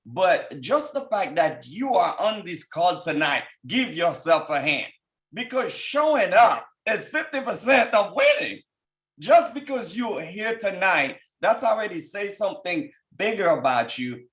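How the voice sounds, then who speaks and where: A man with a strong Haitian accent, high-pitched for a man, fairly slow, with very wide swings in pitch. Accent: thick Haitian. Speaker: business executive and team leader. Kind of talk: motivational testimony on a conference call. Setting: conference call.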